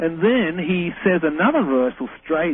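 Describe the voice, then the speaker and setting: Lively intonation runs through this voice with an Australian accent. Music plays in the background. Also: man. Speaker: reverse speech researcher. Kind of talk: radio interview.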